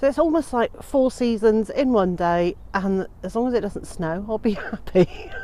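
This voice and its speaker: A woman with lively intonation and hardly any pauses, over noticeable background noise. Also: fairly high pitch for a woman, moderate pace. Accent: British. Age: 50s. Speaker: homesteader and gardening vlogger. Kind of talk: casual vlog narration. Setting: outdoors on homestead.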